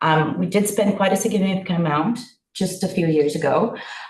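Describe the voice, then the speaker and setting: Moderately paced, somewhat breathy speech from a woman, with ordinary pitch variation. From Brazil, São Paulo. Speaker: village councillor. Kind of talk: council meeting discussion.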